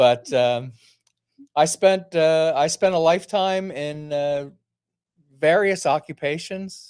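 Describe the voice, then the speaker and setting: In an American accent, a man with a fairly high pitch and ordinary pitch variation speaks at a very slow pace, with long, frequent pauses. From US, New Jersey. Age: 70s. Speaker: retiree. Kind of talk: podcast interview. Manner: hesitant, many uhs.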